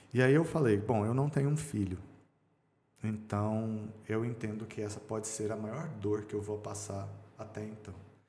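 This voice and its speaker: A man with a fairly low pitch and a dark, mellow tone speaks at a moderate pace. His voice is somewhat breathy, and there is audible room echo. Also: ordinary pitch variation. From Brazil, Goiânia (Goiás). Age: 40s. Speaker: businessman and swimmer. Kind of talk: podcast interview, personal life story.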